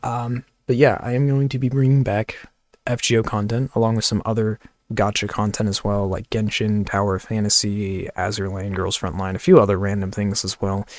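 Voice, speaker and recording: Quiet and fairly low-pitched, a man talks at a fairly quick pace with fairly even intonation. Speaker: gaming youtuber. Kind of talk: channel update vlog. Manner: quiet, kept low; casual, filler-heavy.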